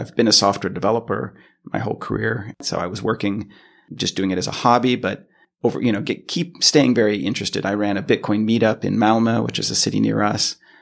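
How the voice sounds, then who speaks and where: Talking at a very fast pace, a man with an American accent uses a fairly low pitch and vocal fry. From US West Coast, Los Angeles. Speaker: software engineer. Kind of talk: interview. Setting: office.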